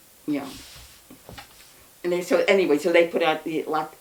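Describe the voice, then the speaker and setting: A woman with an American accent talks at a fairly quick pace with fairly even intonation over noticeable background noise. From New York City. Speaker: anarchist interviewee. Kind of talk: oral history interview. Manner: halting.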